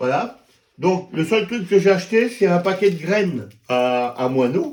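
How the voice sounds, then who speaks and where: Speaking at a fairly slow pace, a man with a high voice moves through very wide pitch swings. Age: 60s. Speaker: YouTuber. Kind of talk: tutorial. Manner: casual, halting.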